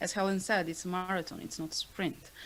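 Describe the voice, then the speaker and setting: This is a woman's voice. She speaks with a non-native accent. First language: not English. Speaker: author and panelist. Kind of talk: panel discussion. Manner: halting.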